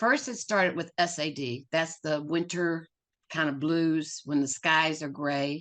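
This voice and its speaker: Against a quiet background, the voice moves at a fairly slow pace with ordinary pitch variation. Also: woman, very deep, low pitch for a woman. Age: 70s. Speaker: author. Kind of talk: testimony.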